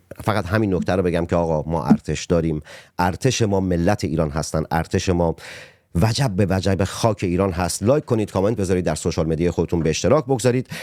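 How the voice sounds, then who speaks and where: A man talks at a very fast pace in a very deep, low voice with a dark, mellow tone. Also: ordinary pitch variation, dry, close sound with no echo. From Iran, Abadan. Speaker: podcast host, poet and journalist. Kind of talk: political interview podcast. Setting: studio.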